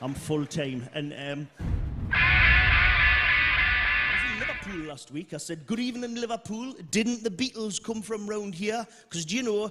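Speaking at a fairly slow pace in a Geordie accent, a man uses a high, raised, projected voice with very wide pitch swings. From Newcastle, North East England. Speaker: stand-up comedian. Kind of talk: live stand-up comedy set. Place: stage. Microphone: handheld.

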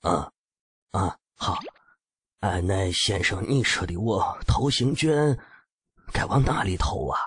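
Putting on a character voice, a man talks at a fairly slow pace and a medium pitch, with very wide pitch swings and long, frequent pauses. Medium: read story. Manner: rustic, plain-spoken.

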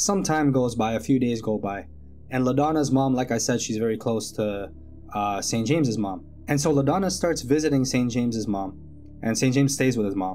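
A man talking at a fairly quick pace over faint music in the background. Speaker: storyteller. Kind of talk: casual true-story narration. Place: home room. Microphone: studio mic.

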